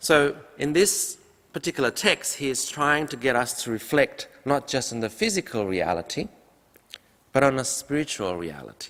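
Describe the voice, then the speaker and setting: A man's fairly high voice with vocal fry, very wide pitch swings and a moderate pace. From Indonesia. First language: Indonesian. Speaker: pastor. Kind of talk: sermon. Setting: church.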